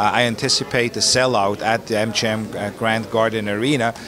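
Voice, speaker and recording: The speaker is a man. There is light noise in the background. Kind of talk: interview answer. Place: gym. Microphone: handheld.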